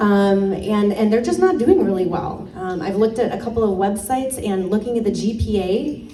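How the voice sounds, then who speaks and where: A woman with a slight Michigan accent talks at a medium pitch and moderate pace with ordinary pitch variation, over noticeable background noise and audible room echo. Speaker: political candidate, former high school teacher. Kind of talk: campaign speech at a community meeting. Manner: casual, many fillers.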